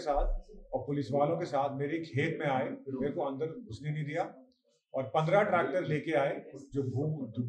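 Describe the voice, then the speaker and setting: Through audible room echo, a man speaks at a fairly high pitch with ordinary pitch variation. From Uttarakhand, Khatima area. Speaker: farmer. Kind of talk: news interview statement.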